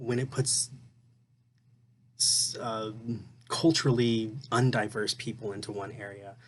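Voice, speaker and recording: A man's somewhat breathy voice at medium pitch, with fairly even intonation and a fairly slow pace. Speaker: student. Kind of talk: recorded class reading reaction. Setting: at home. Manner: halting, many fillers.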